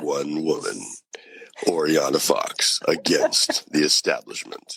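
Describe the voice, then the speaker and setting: At a fairly slow pace, a woman performs in a put-on character voice. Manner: dramatic, announcer-like.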